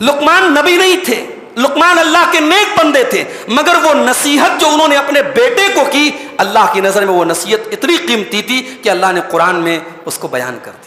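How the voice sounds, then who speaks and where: Over noticeable background noise, a man with an extremely high pitch speaks in a raised, projected voice with a passionate tone, very wide pitch swings and big swings in loudness. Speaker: Islamic scholar giving a Quran commentary lecture. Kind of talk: religious sermon / lecture. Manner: earnest, passionate, preaching.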